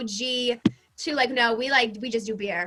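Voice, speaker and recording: A woman is speaking. Her voice is raised and projected. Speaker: social media creator. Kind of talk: casual chat. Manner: fast.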